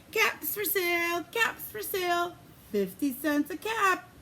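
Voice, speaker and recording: In a put-on character voice, a woman speaks squeaky and extremely high-pitched at a fairly slow pace, with clear background noise behind her. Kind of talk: read-aloud storytelling for preschoolers. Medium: read story. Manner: sing-song street cry.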